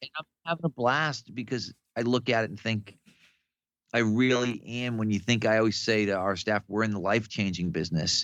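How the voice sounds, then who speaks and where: A man with a plain, everyday voice speaks at a fairly quick pace and medium pitch, the sound dry and close with no echo. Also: ordinary pitch variation. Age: 60s. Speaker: strength coach. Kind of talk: casual podcast conversation.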